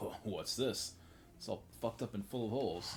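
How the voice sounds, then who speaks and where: Over clear background noise, a man puts on a gruff character voice at a medium pitch and a moderate pace. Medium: game stream. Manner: gruff, profane, streetwise.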